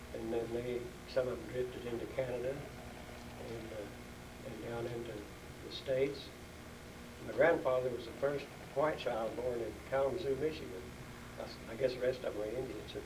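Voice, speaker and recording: A man with an American accent talks at a moderate pace and medium pitch, with fairly even intonation and long, frequent pauses. Audible room echo and noticeable background noise are present. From Oklahoma. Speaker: town elder interviewed about local history. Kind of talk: oral history interview.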